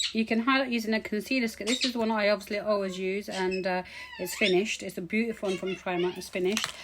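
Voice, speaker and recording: A woman speaks at a very fast pace with fairly even intonation. There is noticeable background noise. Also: medium pitch for a woman. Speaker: beauty vlogger. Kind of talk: tutorial. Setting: home.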